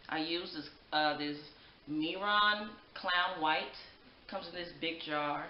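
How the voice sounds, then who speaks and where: Through audible room echo, a woman with a fairly low pitch speaks at a very slow pace with long, frequent pauses. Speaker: beauty vlogger. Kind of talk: makeup tutorial; casual vlog chat. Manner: projecting loudly; animated. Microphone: poor audio, microphone battery needs replacing; webcam.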